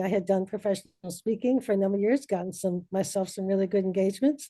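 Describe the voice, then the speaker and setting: A woman's voice, dark and mellow in tone, comes through over a quiet background. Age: 70s. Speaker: author and professional speaker. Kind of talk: podcast interview.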